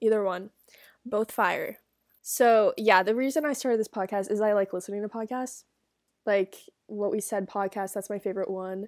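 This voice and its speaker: A plain, everyday voice from a woman, fairly high-pitched, at a moderate pace with fairly even intonation, on a very clean recording with a silent background. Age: young. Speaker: solo podcaster, college student. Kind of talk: casual solo chat, reading and reacting to advice posts. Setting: dorm room. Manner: chatty, many fillers.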